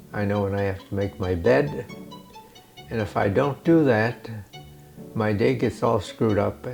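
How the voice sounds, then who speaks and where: Music plays in the background as a man with an American accent and a fairly low voice speaks at a moderate pace with lively intonation. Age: 80s+. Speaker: retired engineer and author. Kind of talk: interview answer.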